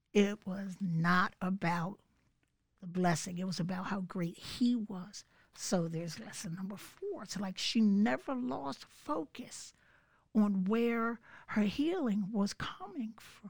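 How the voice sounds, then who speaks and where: In an American accent, a woman talks very slowly at a medium pitch, her voice somewhat breathy. Her pitch moves in an ordinary way, and her loudness rises and falls sharply. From Philadelphia, US. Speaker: churchgoer sharing testimony. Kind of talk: testimony.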